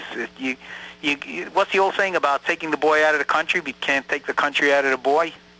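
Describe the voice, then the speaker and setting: Recorded with a dry, close sound with no echo but noticeable background noise, a man with an American accent talks very fast at a fairly high pitch with fairly even intonation. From US, New York. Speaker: American immigrant to Canada interviewed about identity. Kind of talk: radio interview. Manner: halting, with many false starts.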